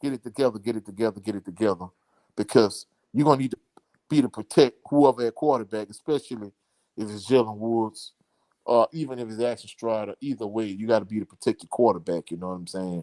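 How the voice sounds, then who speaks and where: Speaking very fast with a strong Louisiana accent, a man uses a dark, mellow tone with ordinary pitch variation and big swings in loudness, the sound dry and close with no echo. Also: medium pitch for a man. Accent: thick Louisiana. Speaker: sports commentator. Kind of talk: live stream chat.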